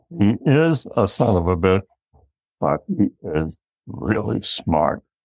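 A man with an American accent talks at a very slow pace. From northeast of Boston, Massachusetts. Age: 90s. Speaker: emeritus professor, social psychologist. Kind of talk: interview, storytelling. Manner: reflective storyteller.

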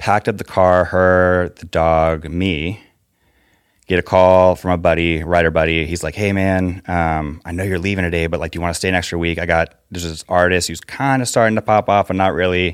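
In a very clean recording with a silent background, a man with an American accent talks at a fairly quick pace, his very deep, low pitch held to fairly even intonation. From US, Northern Virginia (Fairfax). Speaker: songwriter. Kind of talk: casual interview chat.

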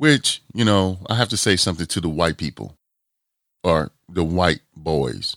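Lively intonation and vocal fry mark this fairly slow speech in an American accent, heard in a very clean recording with a silent background and a dry, close sound with no echo. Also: man, very deep, low pitch for a man. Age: 40s. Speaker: podcast host. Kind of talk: casual chat.

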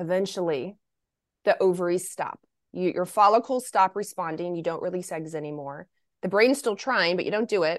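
A woman with an American accent speaks at a medium pitch and moderate pace. Her pitch varies normally against a quiet background. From Kentucky, US South. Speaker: naturopathic doctor. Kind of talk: interview, health education. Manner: animated.

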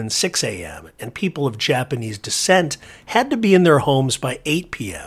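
In a very clean recording with a silent background, a man with an American accent talks at a moderate pace with lively intonation. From southern California. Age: 50s. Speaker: podcast host. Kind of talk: scripted narration.

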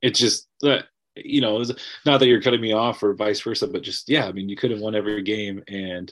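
A normal speaking voice comes through at a moderate pace with ordinary pitch variation. The background is quiet. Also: man. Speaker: barber. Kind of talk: casual chat.

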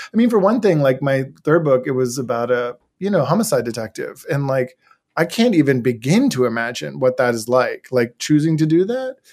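In an ordinary speaking voice with an American accent, a man talks at a fairly quick pace, his pitch fairly high and his intonation lively. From Washington DC area, US. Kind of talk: interview conversation and reading aloud.

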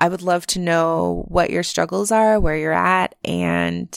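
A woman speaks at a fairly slow pace in a normal speaking voice, her pitch fairly low. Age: 30s. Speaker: podcast host. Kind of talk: solo monologue, personal storytelling. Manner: casual, frequent fillers and laughs.

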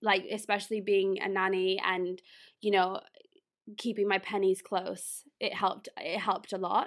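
Speaking in an American accent, a woman keeps a medium pitch and moderate pace. Her intonation is monotone and flat. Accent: British, London, perhaps sounds American-ish. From London, England. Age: 20s. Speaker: food allergy blogger and podcast co-host. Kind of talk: casual interview chat. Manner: laughs often, chatty.

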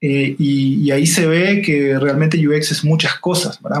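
Fairly even in intonation, a man speaks at a fairly high pitch and a fairly slow pace. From Uruguay, Salto (interior). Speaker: UX design consultant. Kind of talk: interview. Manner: halting, many repetitions and fillers.

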